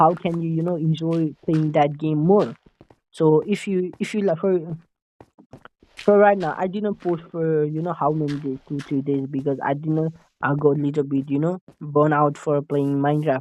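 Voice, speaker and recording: Fairly even intonation in a Nepali accent at a moderate pace. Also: man, fairly high pitch for a man. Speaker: gaming YouTuber. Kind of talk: casual gameplay commentary. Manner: halting, many fillers and restarts; stutter-like repetitions.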